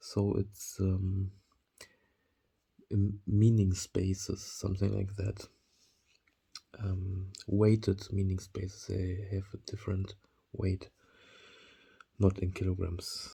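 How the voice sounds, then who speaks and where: A very slow, somewhat breathy man's voice, dark and mellow and fairly low in pitch, with a German accent on a very clean recording with a silent background. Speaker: vlogger. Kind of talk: monologue to camera. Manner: halting, many fillers.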